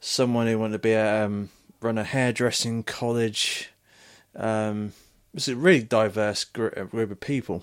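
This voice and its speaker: A man with a British accent speaks at a moderate pace with fairly even intonation, recorded very cleanly against a silent background. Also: medium pitch for a man. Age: 20s. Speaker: podcast host. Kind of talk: casual chat. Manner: halting, many fillers and restarts.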